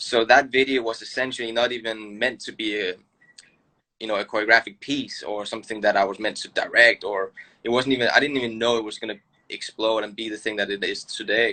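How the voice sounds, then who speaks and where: A man talks at a fairly quick pace with a medium pitch. His tone is bright and sharp, and his intonation is monotone and flat. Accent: Danish. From Denmark. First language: Danish. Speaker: choreographer and dancer. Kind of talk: casual interview chat.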